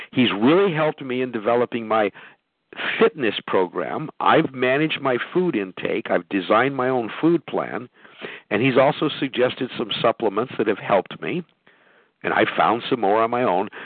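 With an unremarkable speaking voice, a man at medium pitch talks at a moderate pace with lively intonation. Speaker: podcast host. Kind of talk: live call-in business talk show. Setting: phone conference call.

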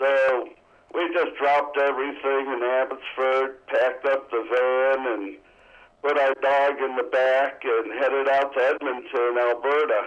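In an American accent, the speaker goes at a fairly slow pace with monotone, flat intonation. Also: man, medium pitch for a man. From Western New York, Niagara Falls. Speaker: retired businessman. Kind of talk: radio interview, personal stories. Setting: remote call from Canada.

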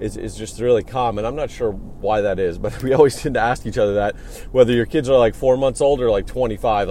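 Over noticeable background noise, a man talks very fast with hardly any pauses, at a medium pitch with ordinary pitch variation. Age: 30s. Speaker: podcast host and clinic owner. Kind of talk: solo podcast monologue. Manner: casual with frequent fillers.

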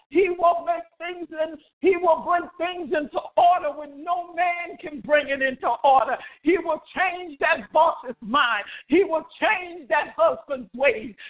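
At a very slow pace, a man talks at an extremely high pitch with ordinary pitch variation. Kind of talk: fervent prayer. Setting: phone prayer line. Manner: impassioned, rhythmic, call-and-response preaching cadence with repeated "oh God".

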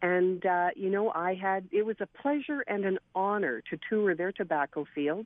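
An unremarkable speaking voice from a woman, medium pitch, moderate pace and lively intonation. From Saskatchewan, Canada. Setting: phone call.

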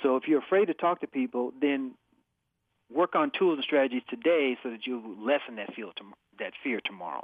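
An unremarkable speaking voice, a man's at medium pitch, moves at a fairly quick pace with lively intonation. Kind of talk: radio interview chat. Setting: phone call.

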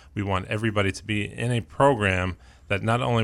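This very clean recording with a silent background has a man with an American accent speaking in a normal speaking voice at a fairly quick pace, his pitch fairly low with ordinary variation. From New York City (Queens). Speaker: university president. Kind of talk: radio interview.

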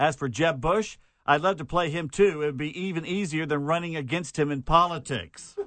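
Speaking in a fairly high register with ordinary pitch movement, a man has an unremarkable speaking voice. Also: fairly quick pace. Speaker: radio co-host or news reader. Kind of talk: casual radio banter.

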